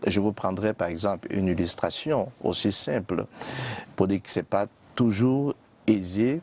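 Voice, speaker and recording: The speaker has a Cameroonian accent and a very slow pace, with ordinary pitch variation and a dry, close sound with no echo. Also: man. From Cameroon, Littoral region (Bassa). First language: Bassa (speaking French). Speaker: biblical scholar, TV guest. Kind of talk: TV interview. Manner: hesitant, many fillers.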